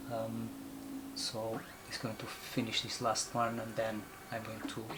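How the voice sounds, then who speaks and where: A man with a Portuguese accent speaks in a monotone, flat intonation with long, frequent pauses. Audible room echo and noticeable background noise come through. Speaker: photographer. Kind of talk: tutorial. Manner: halting, many fillers.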